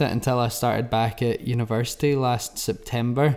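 In an unremarkable speaking voice, a man of medium pitch talks at a fairly slow pace with fairly even intonation. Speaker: podcast host. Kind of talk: casual chat.

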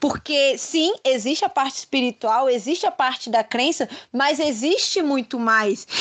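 Delivered at a fairly slow pace, the speech has lively intonation and very even loudness. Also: woman, high pitch for a woman. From Brasília, Brazil. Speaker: political scientist. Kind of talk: interview.

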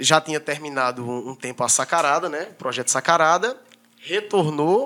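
Delivered at a moderate pace, a man's bright, sharp voice carries lively intonation. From Brazil, Northeast (Paraíba). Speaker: barber and entrepreneur. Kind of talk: casual chat.

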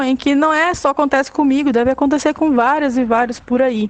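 A woman's high voice, with ordinary pitch variation, sounds out over a quiet background. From northern Brazil, Belém do Pará. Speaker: physical education teacher and activist. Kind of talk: casual chat.

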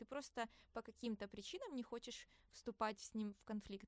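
A woman's voice, dry and close with no echo. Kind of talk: casual chat. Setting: studio. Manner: animated.

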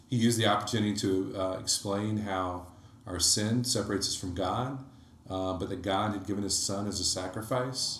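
Somewhat breathy and fairly low-pitched, a man talks at a moderate pace with fairly even intonation and audible room echo. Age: 30s. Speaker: electrical engineer and church small-group co-leader. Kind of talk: casual interview about faith.

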